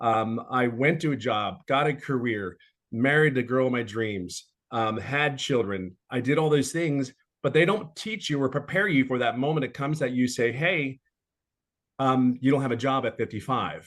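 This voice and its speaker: This man talks at a moderate pace with a medium pitch and ordinary pitch variation. His tone is animated. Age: 50s. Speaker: webinar speaker, business opportunity promoter. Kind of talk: webinar testimony. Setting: online webinar.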